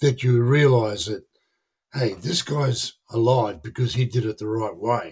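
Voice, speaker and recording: Over a quiet background, a man talks at a fairly slow pace in a somewhat breathy voice. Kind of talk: interview answer. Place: home room. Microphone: earbuds.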